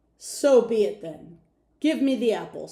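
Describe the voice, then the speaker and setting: A put-on character voice comes through loud and gruff at a fairly high pitch. The pace is moderate. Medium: read story. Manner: gruff, loud.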